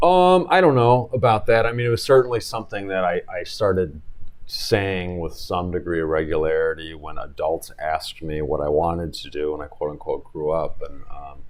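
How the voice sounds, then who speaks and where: Over noticeable background noise, a man with an American accent talks at a moderate pace with hardly any pauses. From Chicago area, US Midwest. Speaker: personal injury attorney. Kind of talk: interview.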